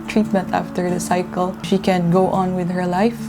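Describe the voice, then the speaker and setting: Over music in the background and audible room echo, a woman speaks at a moderate pace with a medium pitch and monotone, flat intonation. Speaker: patient's relative. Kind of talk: testimony.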